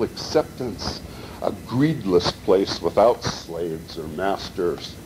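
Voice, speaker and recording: Clearly audible background noise accompanies a man talking with an American accent. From Montana, Butte. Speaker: poet. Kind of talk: reading aloud.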